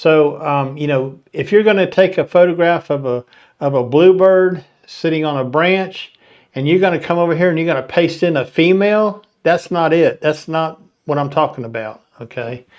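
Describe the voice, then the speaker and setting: With a Southern US accent, a man speaks at a moderate pace, his fairly high pitch showing ordinary variation. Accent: twangy Southern US. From Florida. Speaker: photography channel host. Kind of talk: live stream talk. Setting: live stream.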